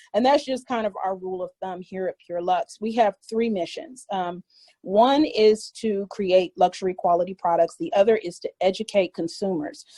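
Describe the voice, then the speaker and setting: A woman with an ordinary speaking voice talks at a medium pitch and a moderate pace with lively intonation, in a dry, close sound with no echo. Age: 40s. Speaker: skincare maker. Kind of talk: tutorial.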